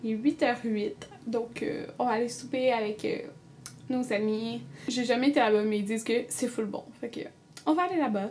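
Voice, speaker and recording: Speaking with a Quebec accent, a woman keeps a moderate pace and lively intonation. There are long, frequent pauses and light background noise. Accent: Québécois French. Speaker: beauty vlogger. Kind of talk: casual vlog chat. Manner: chatty, filler-heavy. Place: home room. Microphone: webcam.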